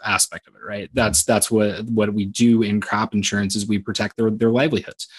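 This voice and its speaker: With a Midwestern US accent, a man talks at a fairly quick pace. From Southwest Iowa. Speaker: insurance sales manager. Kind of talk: interview. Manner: halting, repeats words.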